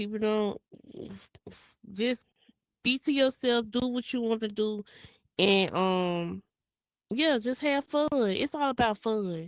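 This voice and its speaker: A woman with a Mississippi accent speaks at a very slow pace with long, frequent pauses, in a dry, close sound with no echo. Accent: Mississippi country speech. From US South, Jackson, Mississippi. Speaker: virtual reality world builder and creator. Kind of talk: interview. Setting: virtual reality space. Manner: casual.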